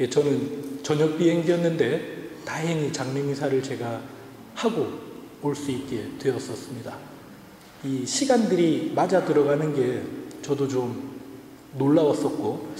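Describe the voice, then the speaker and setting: The speech moves at a fairly slow pace with long, frequent pauses and ordinary pitch variation, with noticeable background noise and audible room echo. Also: man, fairly high pitch for a man. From South Korea, Ulsan (Gyeongsang).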